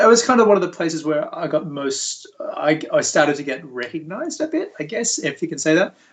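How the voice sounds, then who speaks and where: Noticeable noise sits in the background. A man talks at a fairly quick pace. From Australia, Sydney. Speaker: visual effects lead. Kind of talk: casual interview chat.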